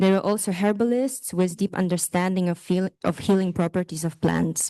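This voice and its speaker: In a Ukrainian accent, a woman speaks at a moderate pace and medium pitch with a dark, mellow tone and fairly even intonation, the sound dry and close with no echo and the background quiet. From northeast Ukraine. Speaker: artist. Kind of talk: guided meditation; talk.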